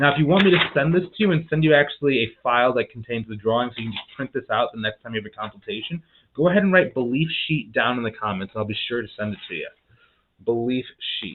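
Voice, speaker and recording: A man with a medium-pitched voice talks at a very fast pace, with lively intonation and big swings in loudness. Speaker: business coach for bookkeepers. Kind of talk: live-streamed training. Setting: live stream to online community. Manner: animated.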